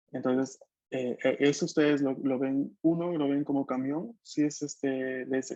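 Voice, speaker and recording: Dry and close with no echo, this man's voice has a dark, mellow tone. His pitch is fairly high, with fairly even intonation. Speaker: language teacher. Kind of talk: online language class.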